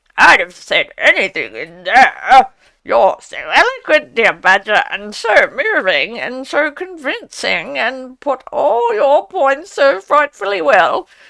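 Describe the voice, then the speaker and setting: Using a put-on character voice, a woman speaks at a high pitch and a fairly slow pace, with hardly any pauses. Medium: read story. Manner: emphatic, theatrical.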